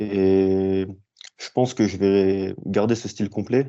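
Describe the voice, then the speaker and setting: The man's voice sits fairly low. He delivers his words with monotone, flat intonation. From northeastern France, near Strasbourg. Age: 20s. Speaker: MMA fighter. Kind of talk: interview.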